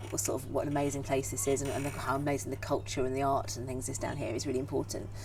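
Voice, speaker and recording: A woman talks at a very fast pace. Noticeable background noise and audible room echo are present. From Cornwall, Falmouth. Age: 40s. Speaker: theatre director and actor. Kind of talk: interview conversation. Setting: outdoors in a garden. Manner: animated, with frequent repetitions.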